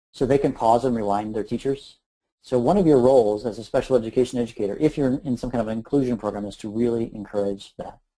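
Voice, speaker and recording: Speaking very fast in an American accent, a man uses a medium pitch, fairly even intonation and a dark, mellow tone. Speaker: educator and flipped learning presenter. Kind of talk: webinar presentation. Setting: online webinar.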